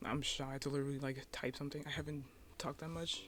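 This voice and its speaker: Someone soft-spoken talks at a very fast pace. Music plays in the background. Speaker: YouTuber, cartoon artist. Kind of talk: casual vlog talk. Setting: at home. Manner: halting.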